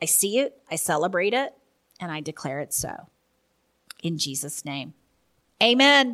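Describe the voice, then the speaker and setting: Bright and sharp in tone, a woman speaks fairly slowly with very wide pitch swings. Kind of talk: opening prayer then preaching-style teaching monologue. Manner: fervent, earnest, impassioned prayer, yielding and expectant; conversational, earnest, teaching.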